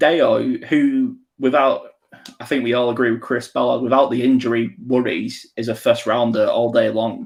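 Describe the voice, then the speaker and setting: With an English accent, a man speaks at a fairly slow pace. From England. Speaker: podcast host. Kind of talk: casual chat. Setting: live stream.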